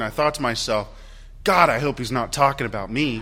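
Lively intonation in a man's bright, sharp-toned voice. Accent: Midwestern. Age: 30s. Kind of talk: Sunday Mass homily, warm personal introduction to new parish. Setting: church during Mass. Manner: conversational and self-deprecating, light laughs at own jokes.

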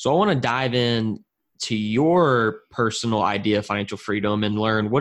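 A man with a plain, everyday voice talks at a medium pitch and moderate pace with ordinary pitch variation against a quiet background. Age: 20s. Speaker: podcast host. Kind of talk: interview.

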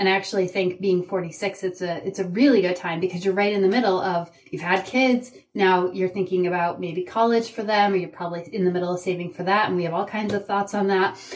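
Through noticeable background noise, a woman with a medium-pitched voice talks at a very fast pace with fairly even intonation. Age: 40s. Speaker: leadership coach. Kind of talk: interview.

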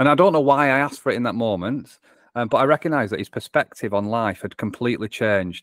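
Lively in intonation, a man talks at a very fast pace and medium pitch. The sound is dry and close, with no echo. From northwest England, between Manchester and Liverpool. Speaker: business improvement coach. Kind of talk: interview conversation. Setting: remote call.

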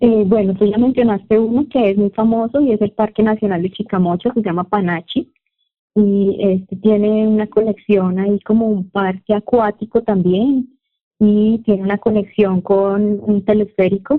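A woman with a Santander Colombian accent speaks at a medium pitch, her loudness very even and her intonation fairly even. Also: moderate pace. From Colombia, Santander (Bucaramanga). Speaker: Spanish teacher and fashion designer. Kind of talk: casual interview.

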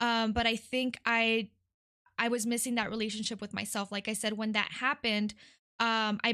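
A woman with a Midwestern US accent speaks at a moderate pace in a monotone, flat way, her fairly high voice bright and sharp in tone over a quiet background. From California, then Detroit. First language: Spanish. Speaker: nonprofit worker, guest. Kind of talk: casual interview.

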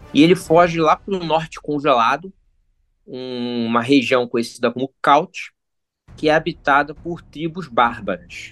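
Speaking fairly slowly with ordinary pitch variation, the clip has an unremarkable speaking voice. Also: man, fairly high pitch for a man. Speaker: YouTuber, gamebook expert. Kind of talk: casual chat.

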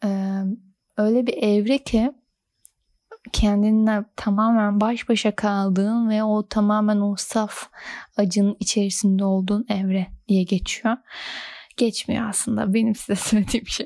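A woman's fairly high voice with a dark, mellow tone and monotone, flat intonation, in a very clean recording with a silent background and a dry, close sound with no echo. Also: fairly slow pace. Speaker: podcast host. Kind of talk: casual monologue. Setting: recording at home late at night. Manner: radio-presenter style.

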